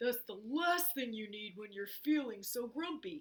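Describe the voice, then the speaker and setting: At a moderate pace, a female-sounding voice performs a put-on character voice with a high pitch. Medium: read story. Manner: fussy, helpful.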